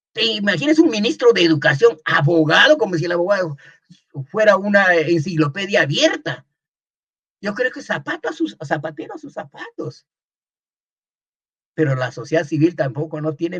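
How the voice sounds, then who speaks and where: The intonation is lively and the pace moderate. Loudness swings widely, with long, frequent pauses. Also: man, high pitch for a man. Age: 70s. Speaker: anthropologist. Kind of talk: interview.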